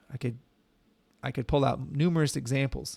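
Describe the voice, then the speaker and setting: An ordinary speaking voice, a man's at medium pitch, moves at a fairly quick pace with fairly even intonation on a very clean recording with a silent background. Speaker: professor teaching Matlab. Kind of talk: tutorial.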